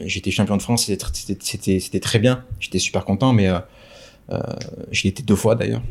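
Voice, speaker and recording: A man speaks with fairly low pitch, ordinary pitch variation and vocal fry. He leaves long, frequent pauses. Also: fairly slow pace. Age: 30s. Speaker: wedding videographer. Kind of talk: casual interview. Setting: at the guest's home. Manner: halting.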